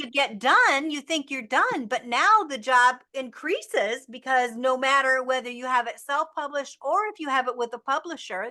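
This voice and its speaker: A woman's raised, projected voice, high and bright with a sharp tone, at a moderate pace with ordinary pitch variation. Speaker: podcast host. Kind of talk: interview host talk.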